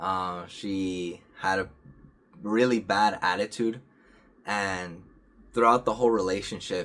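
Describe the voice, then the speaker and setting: Long, frequent pauses break up a man's very slow speech. His pitch is fairly low and his intonation fairly even. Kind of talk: casual talk to camera. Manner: hesitant, stuttering.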